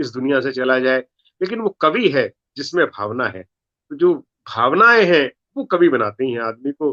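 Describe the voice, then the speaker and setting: A man with a Punjabi accent is heard in a dry, close sound with no echo. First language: Punjabi (speaking Hindi). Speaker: comedy poet. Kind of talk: interview.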